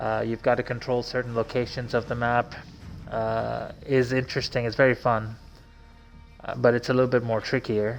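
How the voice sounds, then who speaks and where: A man with a medium pitch speaks while music plays in the background. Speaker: gamer streamer. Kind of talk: casual game walkthrough commentary. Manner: slow.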